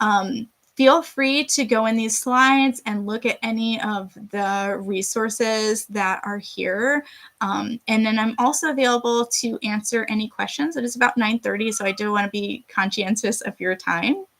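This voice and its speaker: The speaker uses an American accent, a moderate pace, and ordinary pitch variation. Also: woman, fairly high pitch for a woman. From Rochester, New York. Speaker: dietitian giving a community nutrition talk. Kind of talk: online presentation.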